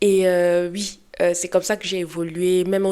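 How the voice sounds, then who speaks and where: With a Cameroonian accent, a woman talks in a fairly low, dark and mellow voice on a flat, monotone line. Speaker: lifestyle and beauty youtuber. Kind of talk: personal storytelling vlog. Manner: casual, hesitant with fillers.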